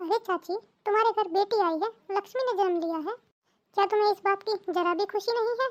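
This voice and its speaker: Using a cartoonish character voice, a woman speaks at a very fast pace with extremely high pitch. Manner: reasoning, warm.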